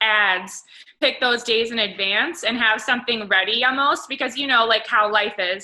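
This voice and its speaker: This woman's voice has a bright, sharp tone and a fairly high pitch, with ordinary pitch variation. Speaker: fitness coach. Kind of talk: team call.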